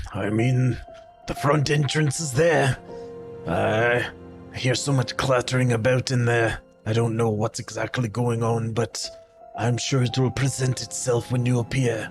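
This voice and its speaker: A man puts on a gruff character voice at a medium pitch, speaking at a moderate pace. Music is clearly audible in the background. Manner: gruff, rough-edged.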